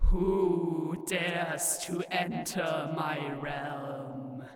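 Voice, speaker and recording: Putting on a booming character voice, a man speaks very slowly at a fairly high pitch, with clear echo around him. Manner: commanding, room-shaking.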